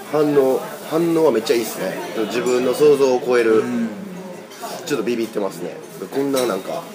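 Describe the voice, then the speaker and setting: A man talks at a fairly quick pace with long, frequent pauses. Crowd noise sits in the background, and there is audible room echo. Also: medium pitch for a man, ordinary pitch variation. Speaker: rock musician. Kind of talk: casual chat.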